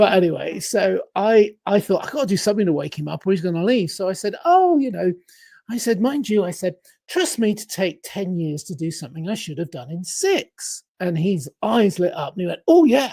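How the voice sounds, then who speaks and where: Someone speaks at a moderate pace with an English accent. The recording is very clean, with a silent background. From England. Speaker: life coach and productivity author. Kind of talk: podcast interview, storytelling. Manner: animated, acts out dialogue.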